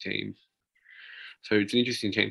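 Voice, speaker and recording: In an Australian accent, a man is talking. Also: dry, close sound with no echo. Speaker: basketball podcast co-host. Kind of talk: casual chat.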